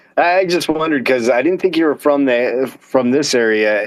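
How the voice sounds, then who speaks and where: A man with a normal speaking voice and an American accent, with ordinary pitch variation. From central Pennsylvania. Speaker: crypto space host. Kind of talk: casual chat. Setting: online audio room.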